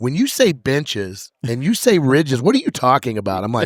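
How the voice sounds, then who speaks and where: In a very clean recording with a silent background, a man speaks with a medium pitch and lively intonation. His pace is fairly quick, and the sound is dry and close with no echo. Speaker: podcast host. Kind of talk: casual chat. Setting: on location recording. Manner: fast.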